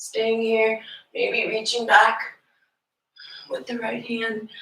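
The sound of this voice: A woman puts on a strained, raspy character voice, fairly high in pitch and delivered at a very slow pace.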